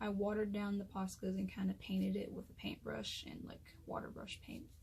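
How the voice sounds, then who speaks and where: A woman whispering. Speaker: artist. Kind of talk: casual talk to camera.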